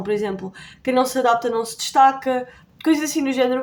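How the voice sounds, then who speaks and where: A fairly quick pace with ordinary pitch variation. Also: woman. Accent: European Portuguese. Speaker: YouTuber. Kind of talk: tutorial. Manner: fast; casual.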